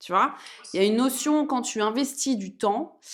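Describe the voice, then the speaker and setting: In an animated tone with lively intonation, a woman speaks at a fairly slow pace. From France, Auvergne. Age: 30s. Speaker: entrepreneur, women's empowerment program founder. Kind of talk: interview, casual chat.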